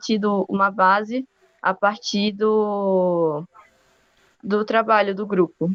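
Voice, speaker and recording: A woman with a Rio de Janeiro accent, monotone and flat in intonation, in a dry, close sound with no echo. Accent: Rio de Janeiro accent, noticeable. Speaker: university student. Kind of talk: podcast interview.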